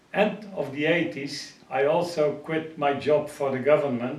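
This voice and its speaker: Spoken with a Dutch accent at a fairly slow pace, the fairly even delivery comes with audible room echo and noticeable background noise. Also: man. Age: 70s. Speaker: pigeon racing expert and publisher. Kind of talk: interview. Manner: halting.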